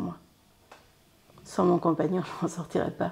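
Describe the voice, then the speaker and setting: A woman's fairly low, dark, mellow voice with flat, monotone intonation. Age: 40s. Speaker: domestic helper and union delegate. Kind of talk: interview testimony. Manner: halting, frequent repetitions.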